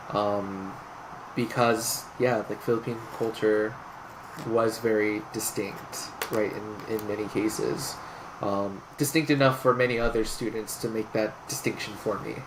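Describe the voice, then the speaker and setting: Over noticeable background noise, a man with an American accent speaks at medium pitch and a fairly slow pace, his intonation fairly even. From Southern California (Inland Empire). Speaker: clinical psychology doctoral student. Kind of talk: interview conversation. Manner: hesitant, many fillers.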